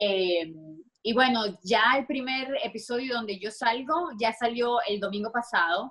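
Speaking fairly slowly in a strong Venezuelan accent, a woman uses a fairly high pitch with ordinary pitch variation. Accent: strong Venezuelan (Maracaibo). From Venezuela, Maracaibo (Zulia). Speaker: dancer and choreographer. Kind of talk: interview.

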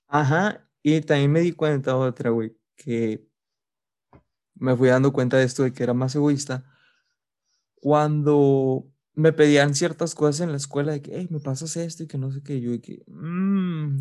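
A man with a Mexican accent speaks at a fairly slow pace, his pitch fairly high and his tone dark and mellow. Intonation stays fairly even over a quiet background. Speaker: podcast co-host. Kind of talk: casual chat.

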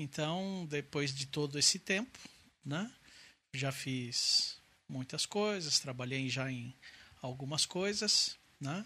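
A man at a very slow pace, with a bright, sharp tone, fairly high pitch and ordinary pitch variation. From Brazil, Santo André (São Paulo). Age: 40s. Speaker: COVID survivor. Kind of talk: testimony.

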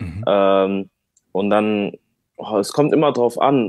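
Here a man has an ordinary speaking voice, at a medium pitch with ordinary pitch variation. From Germany, Bonn area. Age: 20s. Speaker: rapper. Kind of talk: casual interview chat.

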